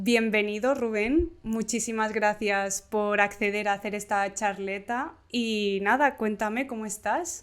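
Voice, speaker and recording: Speaking fairly slowly with hardly any pauses, a woman uses a fairly high pitch and ordinary pitch variation. The recording is very clean, with a silent background. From Mallorca, Spain. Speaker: animation interviewer, channel host. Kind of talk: interview.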